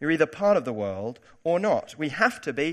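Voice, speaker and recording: In a very clean recording with a silent background, a man with a British accent speaks fairly quickly, his fairly high pitch making very wide swings. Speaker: preacher giving a church sermon. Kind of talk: sermon. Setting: church.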